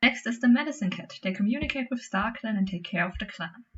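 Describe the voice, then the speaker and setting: A woman's voice moves through very wide pitch swings and sounds somewhat breathy. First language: not English. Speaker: gaming YouTuber. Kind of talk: casual gameplay commentary. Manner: halting.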